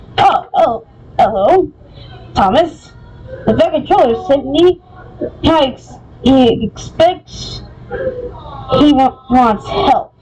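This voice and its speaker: A woman in a high-pitched, put-on character voice, at a very slow pace with long, frequent pauses. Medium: read story. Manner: polite, earnest.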